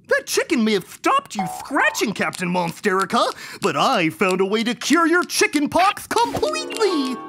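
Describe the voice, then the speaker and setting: A cartoonish character voice, high in pitch, moves at a moderate pace over faint music in the background. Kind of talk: kids' cartoon comic acting. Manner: excited, earnest, jealous of the chicken.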